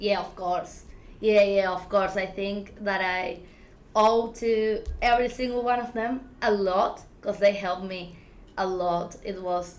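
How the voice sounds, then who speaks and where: The speaker has an Argentine accent and fairly even intonation at a fairly slow pace. Audible room echo surrounds the voice. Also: woman, medium pitch for a woman. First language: Spanish. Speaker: filmmaker. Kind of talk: interview. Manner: halting, many fillers.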